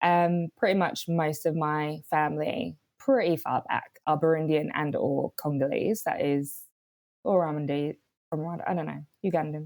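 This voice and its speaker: Speaking in a British accent, a woman with a very deep, low pitch talks at a fairly slow pace with fairly even intonation in a dry, close sound with no echo. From London, England. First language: Swahili. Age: 30s. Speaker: writer and director. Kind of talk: casual chat. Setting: video call.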